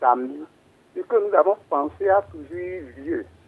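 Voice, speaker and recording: A man is speaking. His pace is very slow. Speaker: caller. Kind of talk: phone call to radio show. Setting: phone call.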